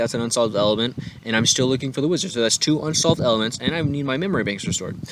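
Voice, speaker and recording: Over noticeable background noise, a man talks at a medium pitch with lively intonation. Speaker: tabletop RPG content creator. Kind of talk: tutorial. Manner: fast; animated.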